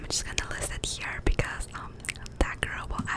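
A soft-spoken woman whispers over loud background noise. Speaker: ASMR creator. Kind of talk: ASMR soft spoken chat. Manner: soft close-mic whisper. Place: home room. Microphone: studio mic.

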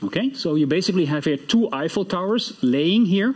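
A man with a Dutch accent talks at a moderate pace. His high voice makes very wide pitch swings. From Netherlands. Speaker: computer science professor; professor giving closing lecture. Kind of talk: lecture. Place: hall.

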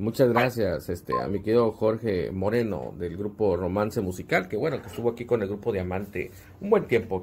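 Fairly low-pitched and somewhat breathy, this man's voice moves at a fairly quick pace. He takes hardly any pauses. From northern Mexico. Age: 40s. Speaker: online show host. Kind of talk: casual chat. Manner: casual and slangy. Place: office. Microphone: phone near.

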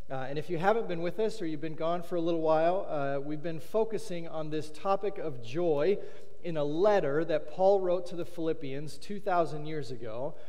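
High-pitched male voice with ordinary pitch variation. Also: moderate pace. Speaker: pastor. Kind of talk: sermon. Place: church.

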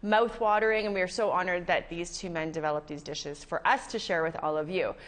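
The pace is fairly quick. This woman's intonation rises and falls in a lively way. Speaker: show host. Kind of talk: TV show host introduction. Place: studio. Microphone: lapel.

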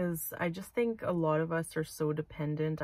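A woman's somewhat breathy, very deep, low voice at a moderate pace, in a dry sound with no echo and a quiet background. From Manitoba, Canada. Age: 30s. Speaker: vlogger. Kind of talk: casual vlog monologue. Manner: hesitant, many fillers. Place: car. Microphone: phone near.

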